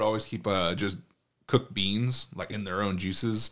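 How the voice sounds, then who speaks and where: Fairly even intonation marks this speaker's delivery, with an American accent. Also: man. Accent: American English, limited Spanish. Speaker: podcast co-host. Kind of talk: casual chat. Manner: casual, profane.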